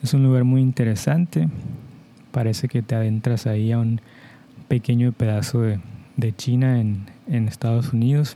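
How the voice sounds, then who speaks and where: This man has a dark, mellow tone and a Mexican accent. His loudness stays very even, broken by long, frequent pauses. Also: medium pitch for a man, ordinary pitch variation. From Mexico. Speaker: podcast host, Spanish teacher. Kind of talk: slow educational monologue for Spanish learners. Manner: clear, deliberate pace for learners.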